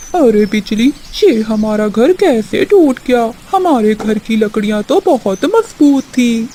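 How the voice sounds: A female-sounding cartoonish character voice at a fairly high pitch runs on with hardly any pauses over clear background noise. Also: fairly slow pace.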